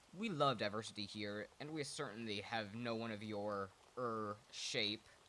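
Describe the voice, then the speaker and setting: Here a man does a put-on character voice, booming at a medium pitch with ordinary pitch variation. He talks at a moderate pace over clear background noise. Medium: read story. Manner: booming, pompous.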